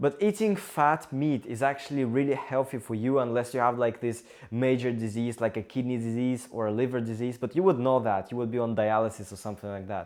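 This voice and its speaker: Speaking at a fairly quick pace with hardly any pauses, a man with a Russian accent keeps a medium pitch and ordinary pitch variation on a very clean recording, silent background. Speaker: engineering student and vlogger. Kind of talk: casual talk to camera.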